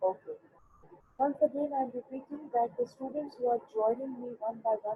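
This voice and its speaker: A woman speaks in a high voice with a dark, mellow tone and ordinary pitch variation. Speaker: school teacher. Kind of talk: online class lecture. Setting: online video class. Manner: loud.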